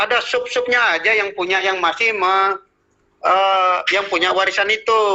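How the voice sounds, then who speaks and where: At a high pitch, a man speaks at a moderate pace with fairly even intonation. His loudness stays very even. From Central Kalimantan, Indonesia. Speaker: traditional healer. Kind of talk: interview.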